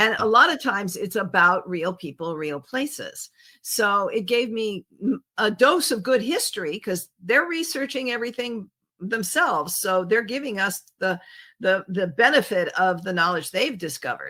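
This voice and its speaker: A woman with an American accent speaks at a moderate pace in a fairly high, bright, sharp voice with very wide pitch swings. The recording is very clean, with a silent background. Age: 70s. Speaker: travel writer and photographer. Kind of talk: interview conversation. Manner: halting, with frequent fillers and restarts.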